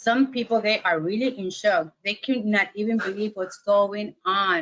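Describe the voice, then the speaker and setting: A woman talks with a non-native accent at a fairly high pitch. Her pace is fairly slow. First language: Spanish. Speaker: webinar presenter on mental health. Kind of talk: webinar lecture. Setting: online webinar. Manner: hesitant, many fillers.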